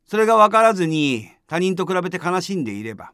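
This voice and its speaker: On a very clean recording with a silent background, a man talks at a fairly quick pace. His pitch is high and swings very widely. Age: 60s. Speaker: Buddhist priest. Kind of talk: dharma talk. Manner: calm, measured with fillers.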